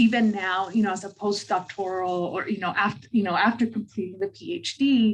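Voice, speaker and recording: A woman speaks at a medium pitch with a somewhat breathy quality and an American accent. Her pace is moderate. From southern California. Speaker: social work scholar. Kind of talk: panel discussion. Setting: video call.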